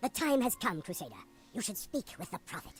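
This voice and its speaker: Fairly high in pitch, a put-on character voice runs at a fairly quick pace. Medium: video game. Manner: repetitive, insistent.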